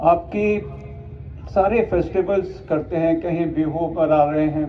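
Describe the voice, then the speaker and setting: Audible room echo surrounds a man's fairly high-pitched voice. His intonation stays fairly even. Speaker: retired army officer, chief guest. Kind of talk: ceremonial speech.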